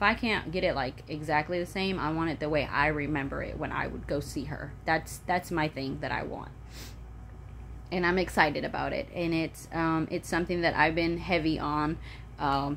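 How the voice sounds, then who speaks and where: An animated woman with an American accent speaks at a moderate pace in a very deep, low pitch with vocal fry. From Florida, Polk County. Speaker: vlogger. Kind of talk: casual vlog monologue. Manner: animated, chatty; halting, many fillers.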